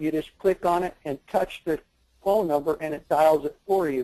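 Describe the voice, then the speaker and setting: This man, with an American accent, talks at a moderate pace, and the sound is dry and close with no echo. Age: 70s. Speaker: website seller, retiree. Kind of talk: webinar interview. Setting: online webinar. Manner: halting.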